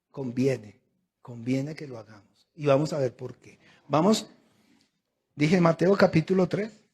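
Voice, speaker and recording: Somewhat breathy, a man speaks at a fairly slow pace with long, frequent pauses. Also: fairly high pitch for a man. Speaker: pastor. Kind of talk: sermon. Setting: church service. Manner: emphatic, repetitive.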